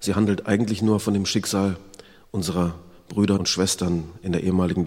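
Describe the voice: Fairly even intonation over plain reading aloud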